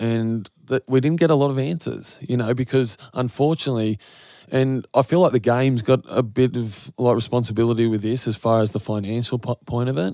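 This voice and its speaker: A man with a medium-pitched, dark, mellow voice talks at a fairly quick pace with ordinary pitch variation, in a very clean recording with a silent background. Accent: Australian. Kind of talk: casual interview.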